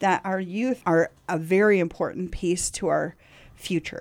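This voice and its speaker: On a very clean recording with a silent background, a woman speaks at a medium pitch and a moderate pace. Hers is a plain, everyday voice with ordinary pitch variation. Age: 50s. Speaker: community radio host and nonprofit founder. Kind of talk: casual conversation. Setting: radio studio.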